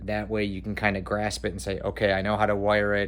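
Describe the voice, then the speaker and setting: A man's fairly low voice at a fairly quick pace, with audible room echo. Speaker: cosplay maker, video creator. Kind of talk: casual vlog outro. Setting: garage. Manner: fast; hesitant, filler words.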